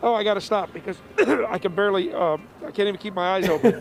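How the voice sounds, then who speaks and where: A strained, put-on character voice rushes along at a very fast pace over light background noise. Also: man, high pitch for a man. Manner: breathless, strained.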